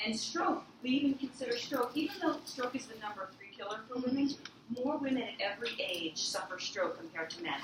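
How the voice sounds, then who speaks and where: Over noticeable background noise, a woman speaks at a fairly quick pace. Her high pitch makes very wide swings. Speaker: cardiologist giving a talk. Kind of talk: public health talk. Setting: club luncheon with audience. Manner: moving about while speaking.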